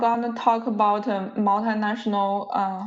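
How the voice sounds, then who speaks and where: This woman's pitch sits fairly high. She talks at a fairly slow pace. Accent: non-native. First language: not English. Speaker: university lecturer. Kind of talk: lecture. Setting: video call. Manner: halting.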